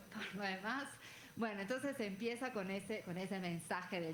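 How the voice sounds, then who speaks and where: A woman with a medium pitch speaks at a fairly quick pace. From Italy. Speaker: legal scholar, book presenter. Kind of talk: panel talk at book presentation. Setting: event with audience and panel table. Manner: halting, with fillers.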